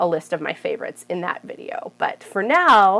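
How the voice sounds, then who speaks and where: A woman is speaking. Her pace is moderate. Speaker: plant content creator. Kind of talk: casual video talk to camera. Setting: home. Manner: animated.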